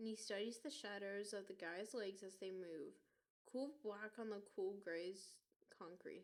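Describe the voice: The voice is plain reading aloud with ordinary pitch variation. The background is quiet.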